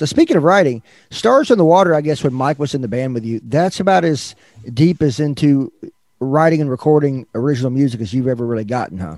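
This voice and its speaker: A man speaks with a Southern US accent. His delivery is very fast, with lively intonation. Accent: Southern American. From US South, Northwest Arkansas. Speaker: podcast host. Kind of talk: interview. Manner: halting.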